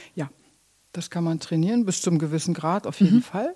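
In a very clean recording with a silent background, a woman speaks at a medium pitch with a dark, mellow tone. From Germany, Minden area (Westphalia). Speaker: theatre musical director and vocal coach. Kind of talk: interview.

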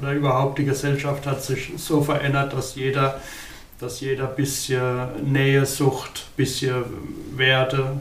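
Speaking at a fairly slow pace in a flat monotone, a man with a fairly high pitch is heard over noticeable background noise and audible room echo. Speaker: band musician. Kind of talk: casual interview. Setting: band rehearsal room.

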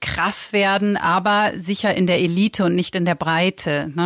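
An ordinary speaking voice from a woman, medium in pitch, fairly slow in pace, with ordinary pitch variation. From Lower Saxony, near East Frisia. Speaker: magazine editor-in-chief. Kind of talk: interview conversation. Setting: studio.

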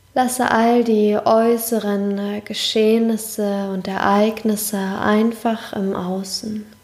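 A woman with a fairly high pitch speaks in a calm, soothing tone, monotone and flat, at a very slow pace with hardly any pauses, amid noticeable background noise. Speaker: podcast host and meditation guide. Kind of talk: guided meditation. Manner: slow, calm, soothing, with long pauses; soft-spoken, gentle, warm.

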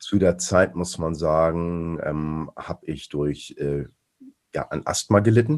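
A man speaks very slowly in a very deep, low voice. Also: ordinary pitch variation. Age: 40s. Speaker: strength athlete. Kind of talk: casual chat.

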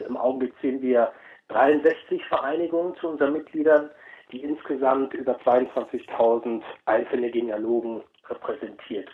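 This man has a fairly high pitch and an unremarkable speaking voice. He talks at a moderate pace. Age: 40s. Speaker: chairman of a genealogy association. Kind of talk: interview.

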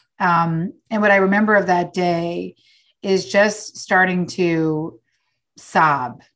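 Against a quiet background, a woman with an American accent talks at a fairly low pitch with fairly even intonation. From New York. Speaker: author. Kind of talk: interview.

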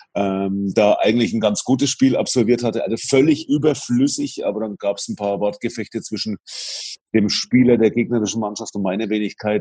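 Here a man talks at a moderate pace. His tone is dark and mellow. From Franconia, Bavaria. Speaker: basketball arena announcer and radio presenter. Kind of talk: casual chat.

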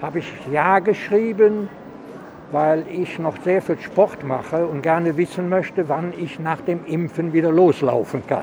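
Over noticeable background noise, a man speaks at a fairly slow pace in a high pitch, with ordinary pitch variation. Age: 80s+. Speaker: elderly vaccine recipient. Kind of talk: casual interview. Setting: vaccination centre on location.

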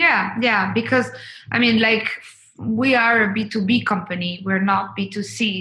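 A woman with a Spanish accent at a fairly slow pace, fairly even in intonation, amid noticeable background noise. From Colombia. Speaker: travel company marketing and sales executive. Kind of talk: podcast interview. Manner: hesitant, many fillers and repeated words.

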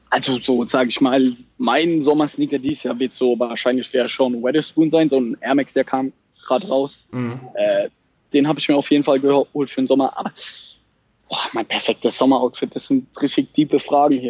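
At a moderate pace, a man with a fairly high pitch speaks using fairly even intonation. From Germany, Mannheim/Heidelberg area. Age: 20s. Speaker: startup founder. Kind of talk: casual interview.

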